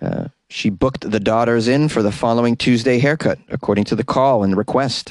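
The passage is read aloud in a natural voice, its pitch varying in an ordinary way.

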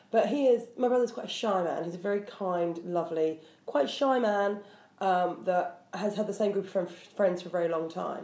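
A woman talks at a moderate pace and a medium pitch with ordinary pitch variation. Noticeable background noise sits behind her. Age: 30s. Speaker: comedian podcast co-host. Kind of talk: casual chat. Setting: home kitchen.

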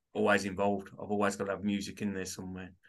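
A bright, sharp voice with a Birmingham accent comes through against a quiet background. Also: man. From Birmingham, England. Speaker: author. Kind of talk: casual interview chat.

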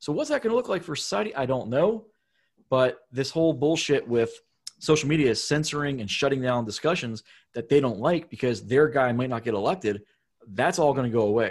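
At a fairly quick pace, a man talks in a normal speaking voice at a medium pitch, with a quiet background. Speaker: podcast co-host. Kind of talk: casual interview.

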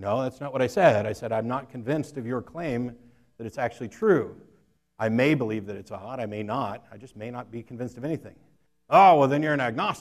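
A man with an American accent talks at a fairly quick pace and medium pitch, with ordinary pitch variation and big swings in loudness, in a plain, everyday voice. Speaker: atheist debater. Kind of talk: debate. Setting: stage with audience.

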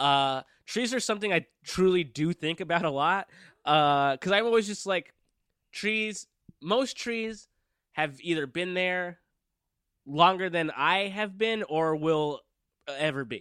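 With a high pitch and a bright, sharp tone, a man speaks at a fairly slow pace with ordinary pitch variation and long, frequent pauses on a very clean recording with a silent background. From Downey, California (Los Angeles suburb). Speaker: improv comedian. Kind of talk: casual chat.

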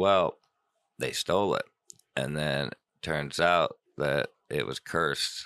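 A man talks at a very slow pace with long, frequent pauses, in a dry, close sound with no echo. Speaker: podcast co-host. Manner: joking, casual, profane.

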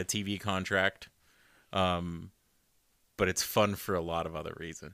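A man with an American accent speaks in a bright, sharp tone and monotone, flat intonation on a very clean recording with a silent background. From Arizona. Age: 30s. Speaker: podcast co-host. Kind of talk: casual chat. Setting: home bedroom.

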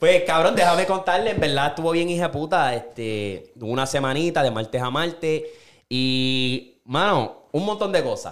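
Lively in intonation, a man talks at a fairly high pitch. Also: fairly slow pace. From Puerto Rico. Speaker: podcast host. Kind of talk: casual chat. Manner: animated.

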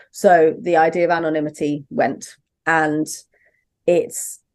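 A woman talks in a very deep, low voice with ordinary pitch variation against a quiet background. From southern England, Brighton. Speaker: donor-conceived person and parent, advocate. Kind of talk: interview conversation. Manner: hesitant, many fillers.

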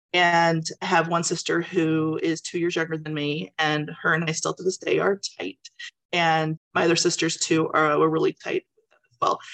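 Her voice fairly low in pitch and monotone in intonation, a woman speaks with big swings in loudness in a dry, close sound with no echo. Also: moderate pace. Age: 40s. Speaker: book club member. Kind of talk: testimony. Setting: video call.

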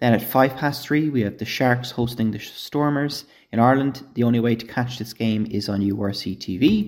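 A man with an ordinary speaking voice talks at a moderate pace, medium in pitch. His intonation is fairly even, in a very clean recording with a silent background. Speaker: TV guide presenter for rugby fixtures. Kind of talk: scripted TV listings read.

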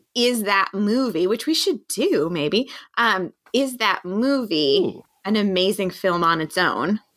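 An ordinary speaking voice at a fairly slow pace, with lively intonation. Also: woman, medium pitch for a woman, very even loudness. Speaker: podcast co-host. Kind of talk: casual chat.

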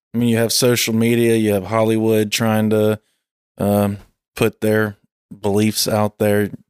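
Fairly low-pitched man with a Southern US accent, monotone and flat, very even in loudness, at a fairly slow pace with long, frequent pauses, dry and close with no echo. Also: very clean recording, silent background. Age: 30s. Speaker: podcast host. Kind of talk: casual chat.

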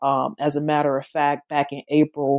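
A woman with a very deep, low pitch, in a dry, close sound with no echo, on a very clean recording with a silent background. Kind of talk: interview about her book. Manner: hesitant, repeats words.

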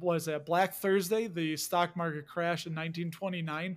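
Recorded very cleanly against a silent background, a man with a Chicago accent speaks in a high pitch at a moderate pace. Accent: Chicago accent, noticeable. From Chicago, US Midwest. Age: 40s. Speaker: dividend investor and YouTuber. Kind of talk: casual interview chat. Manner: animated.

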